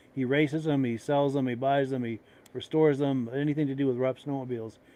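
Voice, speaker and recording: Speaking with fairly even intonation, a man has an ordinary speaking voice pitched fairly high. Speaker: podcast host. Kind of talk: casual chat.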